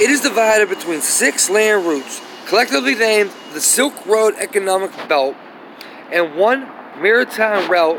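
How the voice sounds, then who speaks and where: There is noticeable background noise as a man speaks at a high pitch and a moderate pace with ordinary pitch variation. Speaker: YouTube commentator. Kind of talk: reading aloud. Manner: halting.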